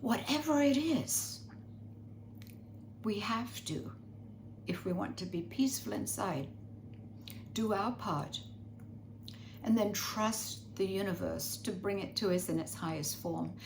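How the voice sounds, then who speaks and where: With audible room echo, a woman with a fairly low pitch speaks fairly slowly, using very wide pitch swings and long, frequent pauses. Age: 80s+. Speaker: spiritual teacher. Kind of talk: spiritual guidance talk.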